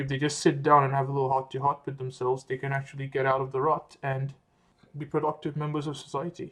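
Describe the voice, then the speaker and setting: A man's fairly high, flat, monotone voice at a very fast pace, with an Australian accent. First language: French. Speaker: medical student vlogger. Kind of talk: casual vlog monologue. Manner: relaxed, conversational with fillers.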